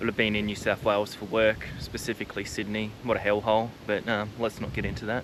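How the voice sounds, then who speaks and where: Hardly pausing at all, a man talks at a very fast pace with a fairly low pitch and monotone, flat intonation. Noticeable background noise sits behind him. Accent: Australian. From Tasmania, Australia. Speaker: homesteader vlogger. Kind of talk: casual walking tour vlog. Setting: outdoors and indoors walking around a rural property. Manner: casual, rambling with fillers.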